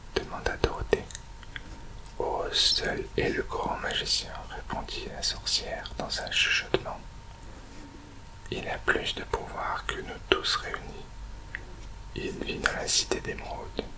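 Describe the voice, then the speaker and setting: Whispering at a very slow pace with long, frequent pauses, the speaker has a soothing tone against noticeable background noise. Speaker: ASMR reader. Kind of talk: whispered story reading, ASMR audiobook. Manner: whispered, soothing.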